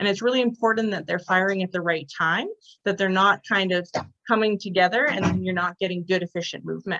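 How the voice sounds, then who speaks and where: Speaking very fast in a bright, sharp tone, a woman with a Canadian accent keeps a medium pitch and fairly even intonation. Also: dry, close sound with no echo. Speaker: sport physiotherapist. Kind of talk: online presentation.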